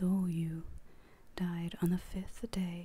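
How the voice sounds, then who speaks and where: The speaker is soft-spoken. The pace is very slow. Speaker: book channel host. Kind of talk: ASMR poetry reading. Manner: soft, quiet.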